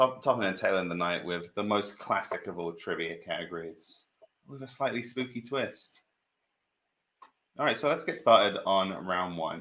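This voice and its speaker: In a British accent, a man with a fairly low pitch and a bright, sharp tone speaks at a moderate pace with lively intonation. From Britain. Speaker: trivia quiz host. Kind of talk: live stream quiz hosting. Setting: live stream.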